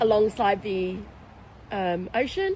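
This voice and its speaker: Over noticeable background noise, a woman with an Australian accent speaks at a fairly high pitch. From Australia, Victoria hills (UK-born, moved as a child). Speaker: restaurant owner. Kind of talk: interview conversation. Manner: hesitant, many fillers.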